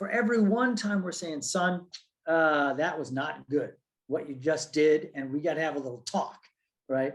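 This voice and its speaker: He has a normal speaking voice with a fairly high pitch. The man keeps a moderate pace and lively intonation. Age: 60s. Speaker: professor. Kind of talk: panel discussion.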